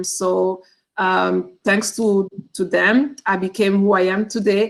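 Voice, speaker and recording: This is a woman's voice. She speaks with a Rwandan accent. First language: Kinyarwanda. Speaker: teacher. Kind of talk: cultural presentation. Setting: video call. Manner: halting.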